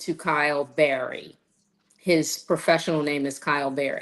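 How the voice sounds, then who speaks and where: A woman at a fairly slow pace, against a quiet background. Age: 60s. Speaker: actor and voice-over artist. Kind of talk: casual interview chat. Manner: animated.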